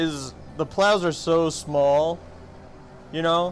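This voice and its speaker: This man's voice sits high in pitch. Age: 30s. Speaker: gaming streamer. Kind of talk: casual chat. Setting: livestream.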